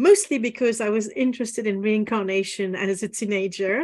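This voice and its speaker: Against a quiet background, a speaker with a French accent talks at a fairly quick pace with fairly even intonation. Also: woman. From France, Paris. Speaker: business and spiritual mentor, former lawyer. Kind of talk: podcast interview.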